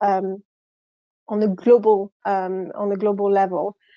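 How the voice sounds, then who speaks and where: This voice has a French accent and monotone, flat intonation, with a dry, close sound and no echo. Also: woman. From France. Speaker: account director. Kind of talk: conference presentation. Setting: video call.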